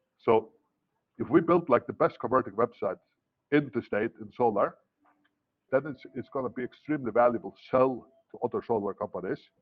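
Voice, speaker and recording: A man with a non-native accent speaks at medium pitch and a fairly quick pace, his pitch varying in an ordinary way. Long, frequent pauses break up his speech, and his loudness swings widely. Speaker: entrepreneur training an intern. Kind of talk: one-on-one training session. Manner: repetitive, stammering restarts; enthusiastic.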